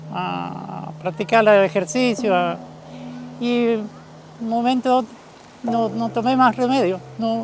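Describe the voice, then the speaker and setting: Over noticeable background noise, a man with a high pitch talks very slowly, pausing long and often, his pitch varying in an ordinary way. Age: 70s. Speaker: retired bus worker, Falun Dafa practitioner. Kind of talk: testimony.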